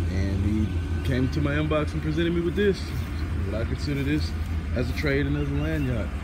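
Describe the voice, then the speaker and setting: Loud background noise fills the clip. Through it, a man talks at a moderate pace. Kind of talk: casual vlog chat. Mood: pleased about trade. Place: street. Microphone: phone near.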